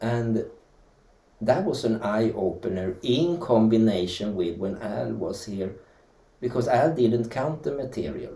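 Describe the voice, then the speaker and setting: Somewhat breathy, a man speaks with a Swedish accent and lively intonation. His tone is dark and mellow, and there is audible room echo. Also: medium pitch for a man, fairly slow pace. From Sweden. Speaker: dance teacher and historian. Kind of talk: interview.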